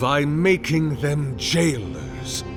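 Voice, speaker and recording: A put-on character voice over loud background music. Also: man, fairly high pitch for a man. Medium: machinima. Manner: measured, formal, grandiloquent.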